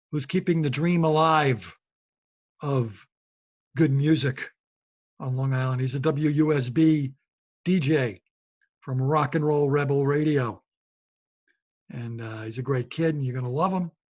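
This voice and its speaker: Somewhat breathy and at a fairly slow pace, the voice moves with ordinary pitch variation and long, frequent pauses. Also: man, fairly high pitch for a man. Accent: New York. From New York City (Brooklyn). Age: 60s. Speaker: podcast host and comedian. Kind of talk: casual monologue.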